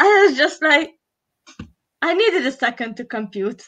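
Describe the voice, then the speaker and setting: A woman with a Hungarian accent speaks in a raised, projected voice with a bright, sharp tone. Her pitch swings very widely at a fairly slow pace against a quiet background. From Hungary. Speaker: live stream co-host. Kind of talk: casual chat. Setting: live stream.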